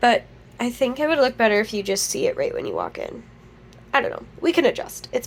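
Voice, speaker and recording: Over noticeable background noise, the speech runs at a very fast pace with big swings in loudness. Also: woman. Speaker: crochet vlogger and small business owner. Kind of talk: casual vlog. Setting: at home.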